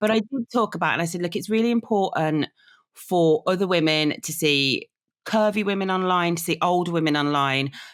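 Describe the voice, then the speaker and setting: A woman's fairly low voice with a Birmingham accent at a fairly quick pace, in a very clean recording with a silent background. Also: ordinary pitch variation. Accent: Brummie. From Birmingham, England. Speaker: content creator. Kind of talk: casual chat.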